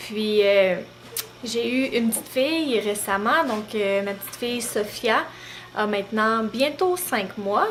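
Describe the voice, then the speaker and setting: Over noticeable background noise, a woman with a Beauce Quebec accent speaks fairly slowly at a fairly high pitch with ordinary pitch variation. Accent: Beauce Québécois. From Quebec, Beauce region. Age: 20s. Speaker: mom vlogger. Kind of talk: casual vlog talk to camera. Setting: at home, handheld camera. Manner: hesitant, many fillers.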